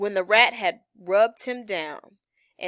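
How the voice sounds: The speaker reads in a natural voice. Pitch moves in an ordinary way over a quiet background.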